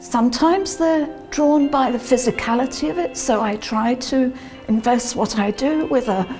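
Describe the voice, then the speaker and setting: A woman's high voice at a fairly slow pace, with ordinary pitch variation and faint music in the background. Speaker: yoga instructor. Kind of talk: interview answer. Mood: calm, thoughtful. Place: hall.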